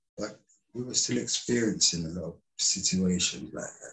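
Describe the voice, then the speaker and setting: This man's voice is somewhat breathy, and he keeps a moderate pace. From London, England (Caribbean heritage). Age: 60s. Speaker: community activist and parent. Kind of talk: interview.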